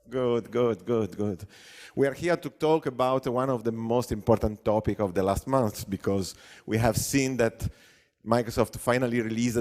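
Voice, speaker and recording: With an Italian accent, a man speaks at a medium pitch and a moderate pace. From Italy. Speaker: software consultant and conference speaker. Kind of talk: conference talk. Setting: stage with audience. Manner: hesitant, many fillers; animated.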